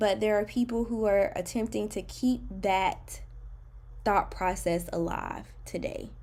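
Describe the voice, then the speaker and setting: A woman speaks with an American accent. Her pace is very slow. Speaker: YouTube reaction podcaster. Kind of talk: podcast monologue.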